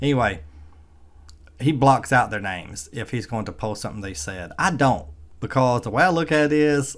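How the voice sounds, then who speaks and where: Speaking with an American accent, a man keeps a medium pitch and moderate pace while his pitch swings very widely. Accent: redneck, rural Southern US. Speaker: EV vlogger. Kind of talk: casual vlog monologue.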